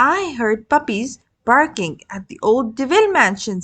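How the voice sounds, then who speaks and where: Against a quiet background, a woman does a put-on character voice at a high pitch. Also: moderate pace. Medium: read story. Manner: brisk, military.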